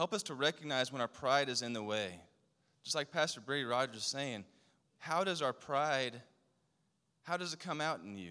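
A man talks at a moderate pace in a medium-pitched, bright and sharp voice with lively intonation and long, frequent pauses. The recording is very clean, with a silent background. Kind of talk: fervent prayer. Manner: halting, repeating words.

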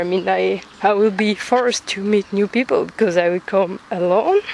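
Noticeable background noise behind a voice with a French accent. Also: woman. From France. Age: 20s. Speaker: student podcaster. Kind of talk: casual monologue. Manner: halting.

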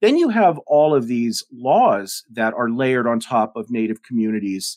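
An American-accented man at a moderate pace, the sound dry and close with no echo. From Denver, Colorado. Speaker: author and professor. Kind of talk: interview. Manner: articulate.

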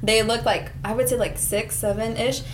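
Fairly quick and fairly high in pitch, a woman's speech shows ordinary pitch variation against noticeable background noise. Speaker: college student. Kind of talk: casual group discussion.

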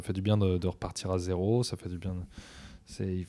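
Fairly slow and fairly low-pitched, a man with an unremarkable speaking voice is heard on a very clean recording with a silent background. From French provinces. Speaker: DJ and music producer. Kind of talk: long-form interview.

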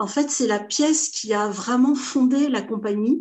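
A woman speaks at a fairly slow pace in a somewhat breathy voice with ordinary pitch variation. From France, Portuguese family. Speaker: theatre association founder. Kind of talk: interview. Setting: video call.

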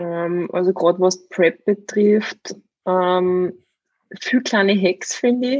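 A woman speaks very slowly at medium pitch with an Upper Austrian accent. Music plays in the background. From Upper Austria, Steyr. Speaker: fitness coach and bodybuilder. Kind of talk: casual chat.

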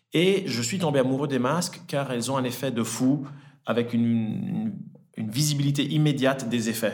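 Audible room echo surrounds a man of medium pitch speaking at a moderate pace with lively intonation. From Italy, then French-speaking Switzerland from age 10. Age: 30s. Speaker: entrepreneur, cosmetics brand founder. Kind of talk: podcast interview. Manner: hesitant, with frequent fillers and repetitions.

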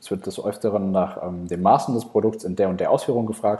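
A man speaks at a moderate pace in a fairly low, dark, mellow voice. His intonation is monotone and flat against a quiet background. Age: 20s. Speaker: agency founder, conference speaker. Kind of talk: conference talk. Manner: hesitant, many fillers.

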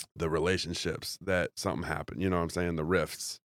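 A man speaks at a fairly quick pace in a very deep, low pitch with fairly even intonation, on a very clean recording with a silent background and a dry, close sound with no echo. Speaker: comedian. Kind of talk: casual chat. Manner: halting.

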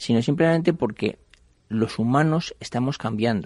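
Over a quiet background, a man talks at a moderate pace in a plain, everyday voice with ordinary pitch variation. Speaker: investment fund CEO. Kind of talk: radio interview. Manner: conversational, with frequent fillers.

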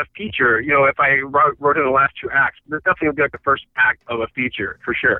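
Talking at a very fast pace, a man with an American accent uses lively intonation. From Michigan, US. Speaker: filmmaker and editor. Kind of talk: interview. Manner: halting, many fillers.

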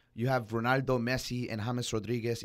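Man's medium-pitched, monotone voice with flat intonation at a fairly quick pace, very clean recording with a silent background. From Colombian heritage. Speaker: soccer podcast co-host. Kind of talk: casual sports chat.

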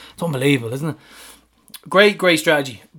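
A man with a Dublin accent. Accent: Irish (Dublin). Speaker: football fan podcast host. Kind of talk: casual chat. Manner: animated.

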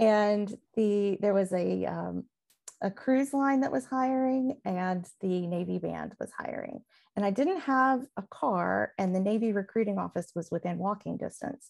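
A woman with a Southern US accent and lively intonation, against a quiet background. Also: medium pitch for a woman, fairly slow pace. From Mississippi, US South. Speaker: music director and navy band veteran. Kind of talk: casual chat.

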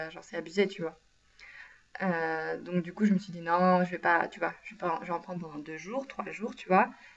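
There is noticeable background noise as a woman talks at a fairly low pitch with ordinary pitch variation. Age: 20s. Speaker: podcast co-host. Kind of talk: casual chat.

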